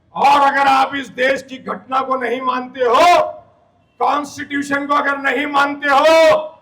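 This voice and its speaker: A man's raised, projected voice at an extremely high pitch, with monotone, flat intonation. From India, Mira-Bhayandar near Mumbai. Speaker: politician. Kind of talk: campaign speech.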